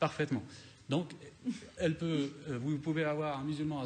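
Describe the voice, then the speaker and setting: Light background noise sits behind a man's voice. He sounds somewhat breathy. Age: 40s. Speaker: independent parliamentary candidate; election candidate. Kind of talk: heated debate. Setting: TV studio. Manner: combative. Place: studio. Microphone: studio mic.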